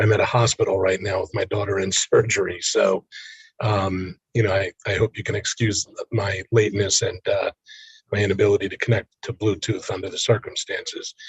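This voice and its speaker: A man talks quietly at a fairly quick pace. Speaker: committee member. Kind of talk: committee meeting. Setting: video call from a hospital. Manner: quiet, low voice.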